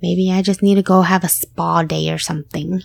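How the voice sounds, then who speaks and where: Recorded very cleanly against a silent background, a woman's voice has a dry, close sound with no echo. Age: 30s. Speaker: podcast host and working mother. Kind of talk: casual solo vent.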